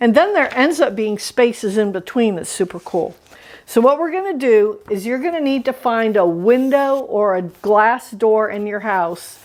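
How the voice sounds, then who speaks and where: A woman with a normal speaking voice, fairly high pitch and lively intonation at a moderate pace. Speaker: art teacher. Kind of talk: tutorial.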